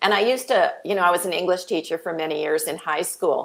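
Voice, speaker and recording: A woman with a slight Canadian accent speaks at a fairly quick pace in a fairly low pitch. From Canada. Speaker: author. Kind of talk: interview.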